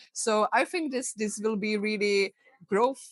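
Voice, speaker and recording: A woman with a Czech accent speaks at a fairly slow pace, using ordinary pitch variation. The sound is dry and close, with no echo. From Czech Republic. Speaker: health coach. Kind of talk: interview.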